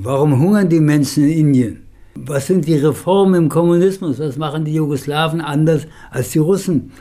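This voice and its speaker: A man with a fairly high pitch has a dark, mellow tone. He speaks at a moderate pace with ordinary pitch variation. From Germany. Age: 80s+. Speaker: professor and agrarian scholar. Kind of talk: interview, life story. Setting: at his home.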